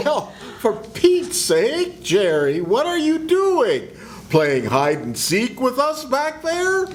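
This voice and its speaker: A put-on character voice, high-pitched and very slow, over clear background noise. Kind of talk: 1940s radio acting. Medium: stage play.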